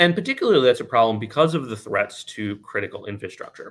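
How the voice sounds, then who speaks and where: The recording is very clean, with a silent background. A man of medium pitch speaks in a bright, sharp tone. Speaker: conference speaker on drone security. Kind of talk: conference presentation. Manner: fast.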